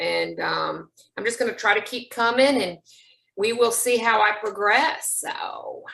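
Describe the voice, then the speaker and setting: A woman speaks at a fairly slow pace with a fairly high pitch and some vocal fry. Her tone is bright and sharp. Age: 50s. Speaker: support group member. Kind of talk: testimony.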